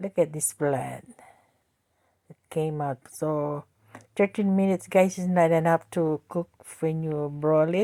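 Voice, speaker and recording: Speaking with a Filipino accent, a woman uses a very deep, low pitch and a dark, mellow tone, with long, frequent pauses and a dry, close sound with no echo. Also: fairly even intonation. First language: Tagalog. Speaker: home cooking vlogger. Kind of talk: cooking tutorial. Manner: talkative, halting.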